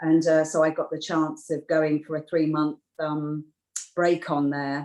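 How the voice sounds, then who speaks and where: A woman speaks with a very deep, low pitch in an English accent. Her intonation stays flat and monotone at a fairly slow pace. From UK. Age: 60s. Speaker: beauty therapist. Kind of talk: interview. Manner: halting.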